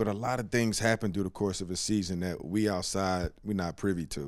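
A man talks at a fairly quick pace in a plain, everyday voice, fairly low in pitch with fairly even intonation. The recording is very clean, with a silent background. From US Northeast, Philadelphia. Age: 40s. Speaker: former basketball player and analyst. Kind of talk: casual chat.

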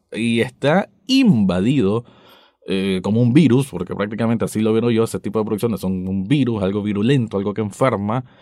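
There's a dark, mellow tone to this man's voice, which has ordinary pitch variation against a quiet background. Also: fairly low pitch for a man. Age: 30s. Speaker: podcast host, TV critic. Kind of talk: solo commentary podcast.

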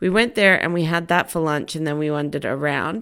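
With an Australian accent, a woman speaks at a moderate pace in a very deep, low pitch, in a very clean recording with a silent background. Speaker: podcast host. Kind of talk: casual chat.

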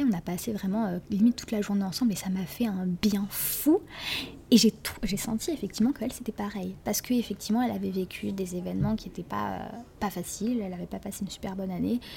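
Using an unremarkable speaking voice, a woman talks at a fairly quick pace, at a medium pitch and with ordinary pitch variation. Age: 20s. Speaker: law student. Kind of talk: casual chat. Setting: public place, recorded at a table.

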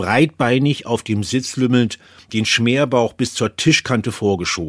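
In a very clean, dry, close recording with no echo and a silent background, a man with an unremarkable speaking voice talks at a moderate pace and medium pitch, with ordinary pitch variation. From Bavaria, Germany. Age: 50s. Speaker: correspondent and former radio presenter. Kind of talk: personal essay reading.

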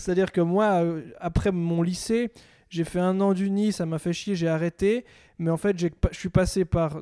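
A man's high-pitched, dark and mellow voice at a fairly slow pace, with fairly even intonation and a dry, close sound with no echo. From French-speaking Switzerland. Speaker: comedian. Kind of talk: casual chat. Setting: in a home in Lausanne.

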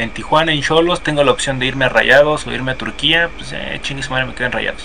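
Noticeable background noise fills the clip. A man is talking through it. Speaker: football podcast co-host. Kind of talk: casual chat. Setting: live stream. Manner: animated.

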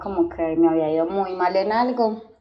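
A woman at medium pitch, with noticeable background noise. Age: 20s. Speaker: doctor. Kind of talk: casual chat.

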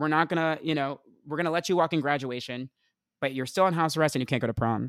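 A fairly high-pitched man with an American accent at a very fast pace, dry and close with no echo, on a very clean recording with a silent background. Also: ordinary pitch variation. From New Jersey, Essex County. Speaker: pop culture writer and performer. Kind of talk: casual chat. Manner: animated.

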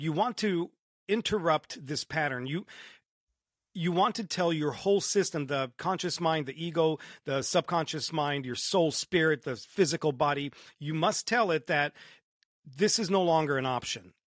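At a moderate pace, a man speaks at a fairly high pitch with ordinary pitch variation, recorded dry and close with no echo. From Romania, moved to Southern California at nine. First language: Romanian. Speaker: entrepreneur and motivational speaker. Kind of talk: podcast interview. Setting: remote call across countries. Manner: animated, swears freely.

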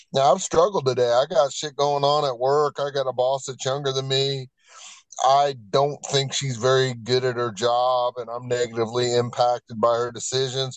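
A plain, everyday voice with an American accent holds a fairly even intonation. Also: man, medium pitch for a man, moderate pace. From Virginia. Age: 50s. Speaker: person in addiction recovery. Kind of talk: testimony. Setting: remote call.

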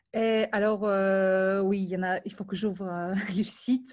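A woman speaks very slowly at a medium pitch, her intonation flat and monotone. The background is quiet. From Ukraine and Moldova. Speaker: film industry professional. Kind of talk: interview.

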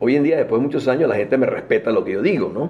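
This man talks at a fairly quick pace with a fairly high pitch. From Venezuela, Caracas. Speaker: aviation industry executive. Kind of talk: interview. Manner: halting, frequent repetitions.

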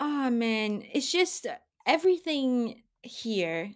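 A woman with a Portuguese accent talks with lively intonation. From Brazil. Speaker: film journalist. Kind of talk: casual chat.

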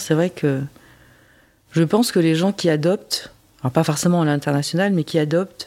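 With a dark, mellow tone and a very deep, low pitch, a woman speaks at a moderate pace with fairly even intonation. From France. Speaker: interviewee sharing adoption story. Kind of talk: testimony. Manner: hesitant, many fillers.

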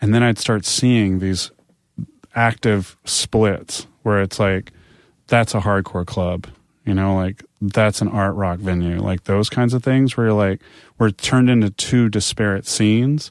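At a fairly slow pace, a man talks with fairly even intonation in a very clean recording with a silent background. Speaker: music industry professional. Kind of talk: casual interview chat.

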